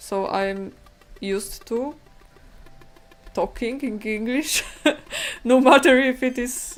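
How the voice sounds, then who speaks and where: With music in the background, a woman with a non-native accent speaks at a very slow pace, using ordinary pitch variation and long, frequent pauses. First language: not English. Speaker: digital painting streamer. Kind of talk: live stream painting chat. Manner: halting. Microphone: bad microphone.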